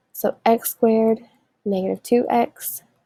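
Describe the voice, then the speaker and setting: A woman's fairly high voice with a dark, mellow tone and ordinary pitch variation, in dry, close sound with no echo. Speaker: math teacher. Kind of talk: tutorial. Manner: fast.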